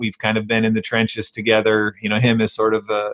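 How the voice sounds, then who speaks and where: This man talks at a medium pitch. His intonation is monotone and flat. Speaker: real estate investment podcast host. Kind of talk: podcast interview. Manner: halting, many fillers and repetitions.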